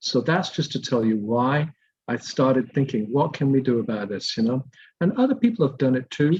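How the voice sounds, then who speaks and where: A man talks at a fairly quick pace in a medium pitch with ordinary variation. His voice is somewhat breathy. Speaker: environmental advocate. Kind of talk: community presentation. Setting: video call. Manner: soft-spoken.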